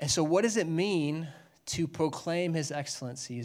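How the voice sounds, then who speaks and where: This man has a plain, everyday voice with fairly high pitch. He talks at a moderate pace with fairly even intonation. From Texas, Dallas. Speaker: guest preacher. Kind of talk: sermon. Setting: church.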